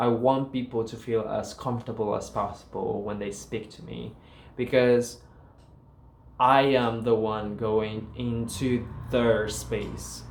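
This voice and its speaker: A man speaks very slowly at medium pitch, his intonation monotone and flat. His loudness swings widely, and room echo is audible. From Paraguay. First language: Guarani. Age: 20s. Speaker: student vlogger. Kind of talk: casual vlog talk.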